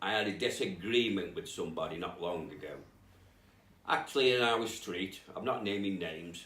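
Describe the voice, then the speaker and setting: In audible room echo, a man speaks at a fairly low pitch with a bright, sharp tone. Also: ordinary pitch variation, moderate pace. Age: 50s. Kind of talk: testimony. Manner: halting.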